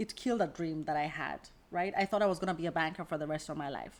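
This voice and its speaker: This woman has an American accent. Her pitch is fairly low. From Kenya. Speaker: career coach. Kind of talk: casual vlog monologue.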